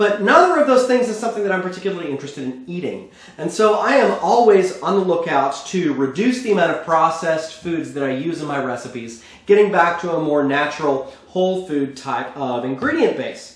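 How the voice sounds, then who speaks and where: A man with an American accent speaks at a fairly quick pace in a high pitch for a man, with lively intonation and noticeable background noise. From Texas. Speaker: cooking show host. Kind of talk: cooking tutorial. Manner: conversational.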